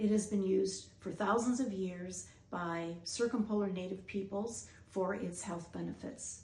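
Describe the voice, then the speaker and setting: A woman with an American accent talks at a fairly slow pace in a medium pitch, her voice somewhat breathy, with audible room echo. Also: fairly even intonation. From US Midwest. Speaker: doctor and researcher hosting a documentary. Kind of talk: scripted narration.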